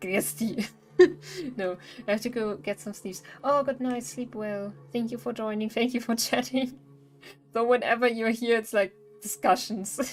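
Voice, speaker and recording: Music plays in the background as a woman with a German accent speaks at a fairly slow pace, taking long, frequent pauses and using ordinary pitch variation. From Bavaria, Germany. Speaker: streamer. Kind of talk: live gaming stream chat. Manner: halting.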